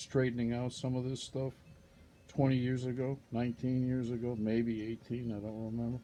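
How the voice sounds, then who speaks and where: A man with a dark, mellow tone and medium pitch speaks at a moderate pace in a flat, monotone way. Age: 60s. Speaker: vlogger. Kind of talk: casual monologue. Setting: at home.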